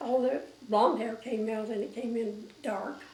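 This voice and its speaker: Amid noticeable background noise and audible room echo, a woman talks at a very slow pace with a fairly high pitch and flat, monotone intonation. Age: 80s+. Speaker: elderly interviewee recalling life story. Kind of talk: oral history interview. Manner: halting, many fillers.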